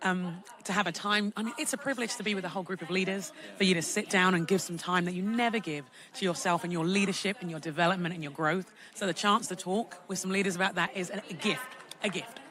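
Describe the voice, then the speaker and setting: Over noticeable background noise, a woman with a strong London accent talks very fast in a medium pitch. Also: ordinary pitch variation. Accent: London English, kept strong. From London, England. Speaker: speaker and preacher. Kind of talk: interview.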